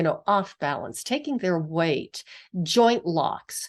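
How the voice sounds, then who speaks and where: With an American accent, the speaker goes at a very slow pace with very wide pitch swings against a quiet background. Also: woman. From US, western Pennsylvania. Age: 60s. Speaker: physical therapist and author. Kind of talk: interview conversation.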